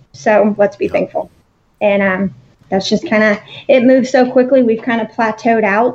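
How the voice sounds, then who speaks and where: With an ordinary speaking voice, a woman talks at a moderate pace, her pitch fairly high and its variation ordinary. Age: 30s. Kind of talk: interview.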